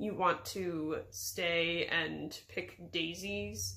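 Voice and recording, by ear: A woman does a put-on character voice at a fairly low pitch, with a bright, sharp tone, vocal fry and a very slow pace in a room with audible echo. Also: fairly even intonation.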